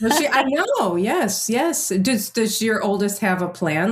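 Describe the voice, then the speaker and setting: A woman with an American accent and a medium-pitched voice speaks fairly slowly with very wide pitch swings and very even loudness, over noticeable background noise. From US, partly Amsterdam as teen. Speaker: podcast host. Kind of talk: podcast interview.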